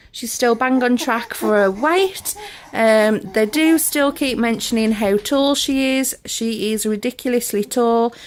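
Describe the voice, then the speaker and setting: A fairly slow pace of speech amid noticeable background noise. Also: woman, fairly high pitch for a woman, ordinary pitch variation. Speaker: parenting vlogger. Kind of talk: casual vlog update.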